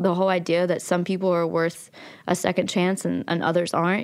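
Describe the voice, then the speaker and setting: A woman speaks at fairly low pitch in an Appalachian accent. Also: very clean recording, silent background. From West Virginia (Logan). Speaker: documentary filmmaker. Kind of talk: interview.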